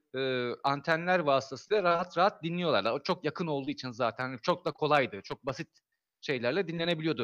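A man speaks at a fairly quick pace, his pitch fairly high, with ordinary pitch variation. The sound is dry and close with no echo, and the background is quiet. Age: 40s. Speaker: amateur astronomer. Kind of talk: casual chat. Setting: live stream.

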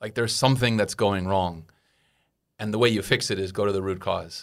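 A man speaks with fairly even intonation in a plain, everyday voice. The recording is very clean, with a silent background. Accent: American. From United States. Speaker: expat in Taiwan, podcast guest. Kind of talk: casual chat.

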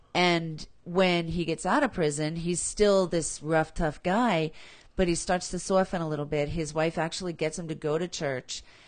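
A woman has an ordinary speaking voice with a fairly low pitch. She keeps a moderate pace and fairly even intonation. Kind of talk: casual chat.

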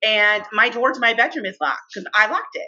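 A woman's medium-pitched voice, an unremarkable speaking voice, at a moderate speed. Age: 40s. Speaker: podcast co-host, trauma survivor. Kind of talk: casual chat.

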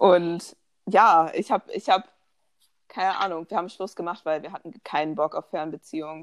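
A woman talks at a moderate pace with a fairly low pitch and fairly even intonation, and her loudness swings widely. The sound is dry and close with no echo. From Germany, Bonn. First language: bilingual German and English (speaking German). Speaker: podcast co-host. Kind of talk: casual chat.

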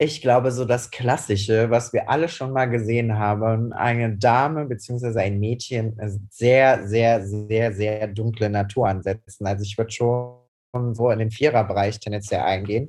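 With music in the background, a man speaks at a moderate pace and a medium pitch, with fairly even intonation. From Cologne, Germany. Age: 20s. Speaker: hairdresser. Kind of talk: casual chat.

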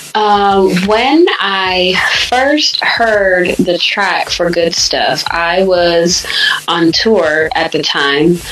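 In an American accent, a woman speaks at a very slow pace and medium pitch, with ordinary pitch variation, very even loudness and noticeable background noise. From US Michigan, raised Sacramento California. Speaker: singer-songwriter and producer. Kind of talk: interview, casual chat about music career. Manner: bright, breezy, wide awake.

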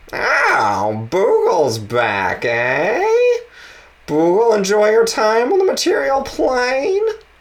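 In a croaky, put-on character voice, a man talks at a very slow pace. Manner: croaky old lady voice.

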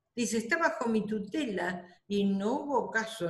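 A woman's fairly high voice in a Rioplatense accent at a very slow pace, with audible room echo. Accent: Argentine Spanish (rioplatense). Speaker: retired bank employee, grandmother. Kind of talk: interview, personal recollection.

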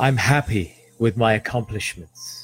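A man's medium-pitched, somewhat breathy voice at a very slow pace, with ordinary pitch variation. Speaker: podcast host and meditation guide. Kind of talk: guided meditation. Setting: live stream with background music. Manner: slow, soft, soothing, with long pauses.

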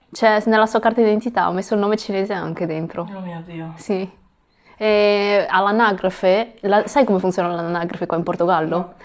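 In a plain, everyday voice, a woman talks at a moderate pace. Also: medium pitch for a woman, fairly even intonation. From Italy (Ancona), Chinese-Italian family. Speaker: guest, mother of two. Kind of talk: casual chat. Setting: recording in Portugal near Lisbon.

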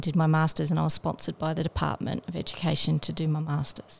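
In an Australian accent, a woman speaks at a fairly quick pace. The recording is very clean, with a silent background. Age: 50s. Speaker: special education teacher. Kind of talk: interview.

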